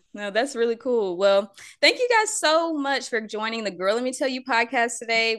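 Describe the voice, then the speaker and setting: Over a quiet background, a woman talks at a moderate pace in an animated, playful and bright, sharp tone with lively intonation. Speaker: podcast host, mother. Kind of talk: casual chat.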